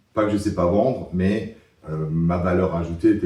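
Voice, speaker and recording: A man speaks at a fairly slow pace in a very deep, low voice. His tone is dark, mellow and somewhat breathy, with ordinary pitch variation. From Alsace, France. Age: 50s. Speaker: business consultant. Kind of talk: interview testimony. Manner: hesitant, many fillers.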